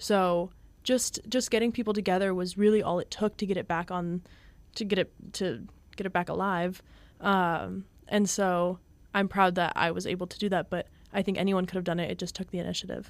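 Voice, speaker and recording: A woman with an unremarkable speaking voice talks at a fairly quick pace and medium pitch, her intonation fairly even, on a very clean recording with a silent background. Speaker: college radio classical head. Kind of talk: casual interview chat.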